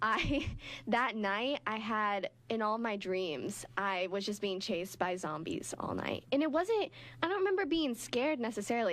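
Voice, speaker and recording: The delivery moves at a moderate pace. It is an unremarkable speaking voice. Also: woman. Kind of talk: college radio morning talk show banter. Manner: casual, chatty, conversational.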